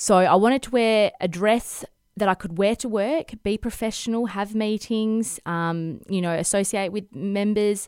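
A woman speaks with an Australian accent at a fairly slow pace, with hardly any pauses. Her pitch is medium with ordinary variation, in a very clean recording with a silent background. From Western Australia, Perth. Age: 30s. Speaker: fashion designer. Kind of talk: interview conversation.

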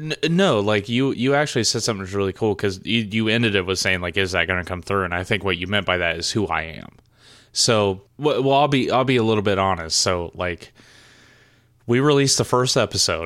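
A fairly low-pitched male voice at a fairly quick pace, captured on a very clean recording over a silent background. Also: lively intonation. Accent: Southern US. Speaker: podcast co-host. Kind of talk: casual chat.

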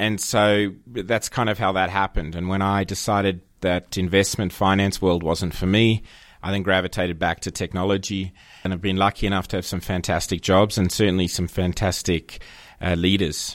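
A man with an Australian accent and a very deep, low pitch speaks at a moderate pace in monotone, flat intonation, on a very clean recording with a silent background. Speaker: agency managing director. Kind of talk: casual interview chat.

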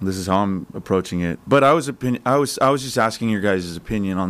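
In a very clean recording with a silent background, a man with a normal speaking voice talks fairly quickly at a fairly low pitch, with ordinary pitch variation. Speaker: sports betting analyst. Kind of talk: casual chat. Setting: studio.

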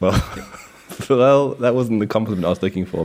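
A man with lively intonation against noticeable background noise. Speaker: podcast co-host. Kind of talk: casual chat. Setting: remote call, speakers in different countries.

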